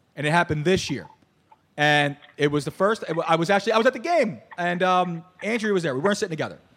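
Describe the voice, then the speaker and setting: Talking very fast in an animated tone, a man with a Philadelphia accent speaks at a high pitch with ordinary pitch variation. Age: 40s. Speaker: podcast host. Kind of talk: casual chat.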